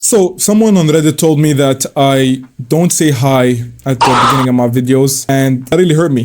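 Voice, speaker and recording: Amid noticeable background noise, a man with a non-native accent talks in an animated tone at a moderate pace, his fairly high pitch varying in an ordinary way and his loudness very even. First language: not English. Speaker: online commentator. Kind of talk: reaction commentary. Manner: casual, animated.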